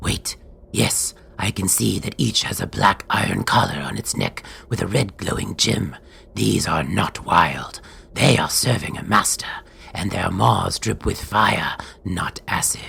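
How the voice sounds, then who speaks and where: A put-on character voice comes through at a fairly slow pace over clear background noise. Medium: audio drama. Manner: quiet, observant.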